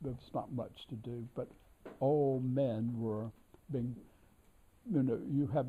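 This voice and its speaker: A man's somewhat breathy voice, dark and mellow, at medium pitch and a fairly slow pace. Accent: American. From North Carolina, US South. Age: 80s+. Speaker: scholar and editor of an author's works. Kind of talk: reminiscence during a tour. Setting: library of a historic house. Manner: halting with many fillers.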